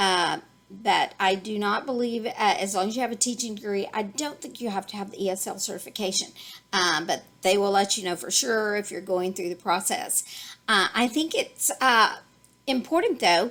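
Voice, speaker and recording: A woman's bright, sharp tone in a Texas accent. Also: medium pitch for a woman, ordinary pitch variation. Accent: Texas drawl. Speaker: online ESL teacher and YouTuber. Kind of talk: tutorial. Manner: halting, many fillers.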